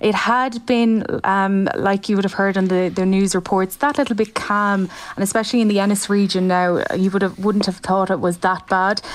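A normal speaking voice runs at a moderate pace with hardly any pauses. Intonation is fairly even and loudness very even. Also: woman, medium pitch for a woman. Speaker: reporter. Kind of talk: live phone report on storm.

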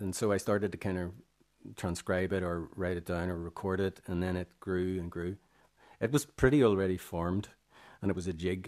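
With a Northern Irish accent, a man speaks fairly quickly in a very deep, low voice. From Northern Ireland, Armagh. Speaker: musician and composer. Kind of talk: radio interview. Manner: halting, many fillers.

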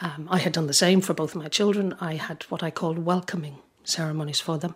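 With a slightly husky edge, a woman speaks at a fairly quick pace and low pitch, keeping her intonation fairly even.

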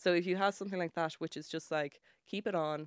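In a Dublin accent, a woman speaks fairly quickly at a fairly low pitch in a flat monotone, the sound dry and close with no echo and the recording very clean over a silent background. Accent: Irish (Dublin). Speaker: journalist and music writer. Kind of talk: casual radio interview. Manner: chatty, laughing often.

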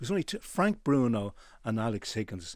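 This man speaks with a Dublin accent at a medium pitch. His pitch varies in an ordinary way. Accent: Dublin Irish. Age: 70s. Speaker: tailor and menswear retailer. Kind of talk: radio interview. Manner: halting.

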